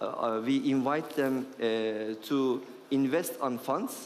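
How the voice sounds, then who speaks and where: The pitch variation stays ordinary. It belongs to a man whose voice is fairly high. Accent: Turkish. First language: Turkish. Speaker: venture capital investor. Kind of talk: panel discussion. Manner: halting, many fillers.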